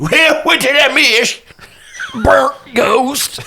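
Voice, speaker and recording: A man performs a put-on character voice. His pitch is extremely high. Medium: actual play. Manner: folksy, casual.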